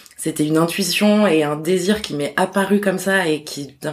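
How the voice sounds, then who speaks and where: Noticeable background noise accompanies a woman speaking at medium pitch with ordinary pitch variation. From Corsica. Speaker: publishing house bookseller liaison. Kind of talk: interview.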